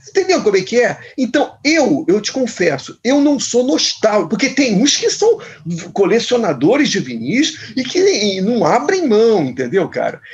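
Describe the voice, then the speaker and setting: With very wide pitch swings, a man speaks at an extremely high pitch and a fairly slow pace. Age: 60s. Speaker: musician. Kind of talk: interview. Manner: halting.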